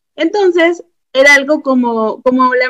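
This voice is a woman's, pitched high. Its variation in pitch is ordinary. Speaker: teacher. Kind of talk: casual chat.

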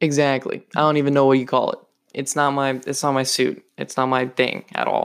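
Talking at a fairly quick pace, a man uses a fairly high pitch and an animated tone. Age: young. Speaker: podcast host. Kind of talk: casual monologue. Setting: home recording in bed.

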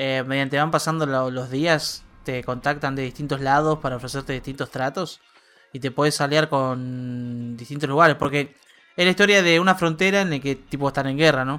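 Over music in the background, a man with a fairly high pitch talks at a moderate pace with fairly even intonation. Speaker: podcast co-host. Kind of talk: casual chat.

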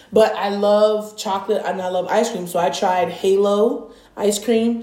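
Against noticeable background noise, a woman speaks at a moderate pace and medium pitch with monotone, flat intonation. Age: adult, parent. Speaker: podcast co-host. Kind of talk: casual chat.

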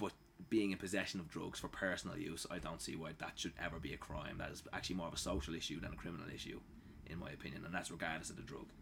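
The man's voice is very deep and low. He speaks very fast, with ordinary pitch variation. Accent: Dublin. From Ireland, Dublin. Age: 30s. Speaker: home cook. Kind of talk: casual chat.

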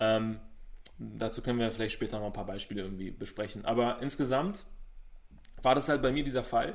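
A man of medium pitch talks at a fairly quick pace with ordinary pitch variation but takes long, frequent pauses. Audible room echo surrounds his voice. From Berlin, Germany. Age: 30s. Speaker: business coach. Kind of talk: interview.

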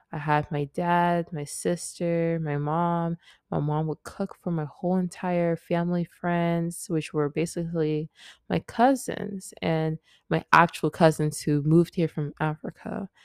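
Using an ordinary speaking voice, a woman talks fairly slowly at a fairly low pitch with fairly even intonation. The recording is very clean with a silent background. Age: young. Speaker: podcast host. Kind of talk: casual monologue. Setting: lying down in bedroom.

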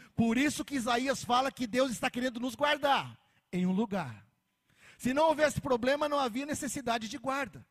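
The speaker moves at a moderate pace. The pitch varies in an ordinary way. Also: man, extremely high pitch for a man. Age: 40s. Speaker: pastor. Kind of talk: sermon.

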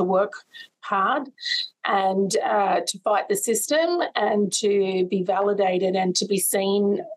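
Here is a woman with an Australian accent and a medium pitch. She talks at a fairly slow pace with ordinary pitch variation. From Sydney's western suburbs, Australia. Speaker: nursing college CEO. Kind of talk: interview.

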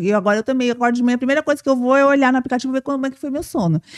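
The recording is dry and close with no echo, carrying a woman's high-pitched voice with ordinary pitch variation. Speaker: podcast host. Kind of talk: casual interview. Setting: live stream. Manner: fast.

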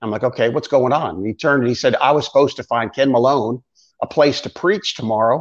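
A man with an American accent has a plain, everyday voice. He talks at a fairly quick pace with ordinary pitch variation. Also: quiet background. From Florida. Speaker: pastor. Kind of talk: casual ministry interview.

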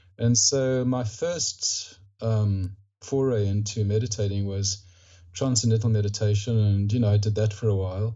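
Against noticeable background noise, a man speaks at a moderate pace and a fairly low pitch. His loudness stays very even, and his intonation is fairly even. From Rhodesia (Zimbabwe), later Australia. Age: 60s. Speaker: author, mindfulness practitioner, veteran. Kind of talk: casual interview. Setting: remote call.

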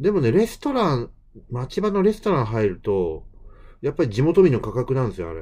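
The voice has a dark, mellow tone and moves at a fairly quick pace through very wide pitch swings. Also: man, medium pitch for a man. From Kansai, Japan. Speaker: podcast host. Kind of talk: casual chat.

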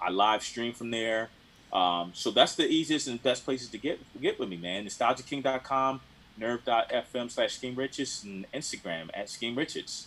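Speaking at a moderate pace in a plain, everyday voice, a man with an American accent holds a medium pitch with ordinary pitch variation. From Philadelphia. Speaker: DJ and record collector. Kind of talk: casual chat.

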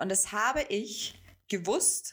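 A woman talks at a very slow pace. Her intonation is lively. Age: 20s. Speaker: business coach. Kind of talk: solo podcast monologue. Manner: casual, many filler sounds.

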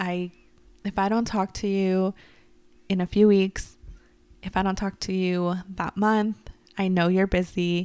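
The sound is dry and close with no echo, on a very clean recording with a silent background. A woman speaks at a medium pitch in a flat monotone, fairly slowly, with long, frequent pauses. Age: 20s. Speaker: podcast co-host. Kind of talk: casual chat.

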